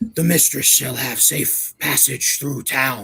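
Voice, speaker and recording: Speaking at a fairly slow pace, a man puts on a character voice at a medium pitch. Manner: formal, deferential.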